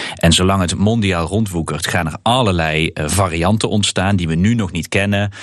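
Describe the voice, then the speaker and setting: A man's very deep, low voice at a moderate pace with fairly even intonation and hardly any pauses, over noticeable background noise. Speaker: member of European Parliament. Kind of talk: casual chat. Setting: remote from parliament in Strasbourg.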